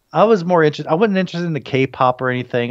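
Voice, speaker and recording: A man with an American accent and lively intonation, over a quiet background. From United States. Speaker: Korean food promoter and food blogger; food blogger. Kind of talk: casual interview chat. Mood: relaxed, cheerful. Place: home room. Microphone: video call.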